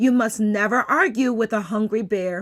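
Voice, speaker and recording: In a put-on character voice, a woman speaks raspy and fairly high in pitch at a moderate pace with ordinary pitch variation. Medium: read story.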